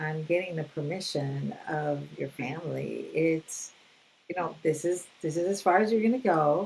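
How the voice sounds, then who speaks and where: A woman with a very deep, low voice speaks at a fairly slow pace with ordinary pitch variation over noticeable background noise. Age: 60s. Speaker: mental health counselor. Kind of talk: casual interview conversation.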